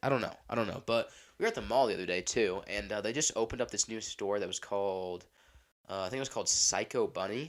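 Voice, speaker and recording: At a very fast pace, a man talks with a medium pitch and vocal fry. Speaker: podcast host. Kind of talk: casual chat. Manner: rambling, filler-heavy.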